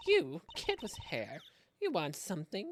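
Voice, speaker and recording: A husky, put-on character voice sits at a fairly high pitch. The delivery moves at a fairly slow pace. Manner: curt, suspicious.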